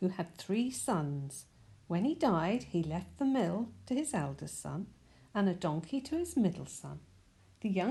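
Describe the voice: The speaker does plain reading aloud. Words come out read straight from a page.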